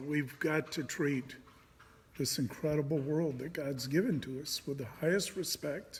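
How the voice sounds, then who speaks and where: His pitch sits fairly high for a man, with ordinary variation. A somewhat breathy quality runs through the male voice. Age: 60s. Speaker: pastor. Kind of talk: casual monologue. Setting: indoors.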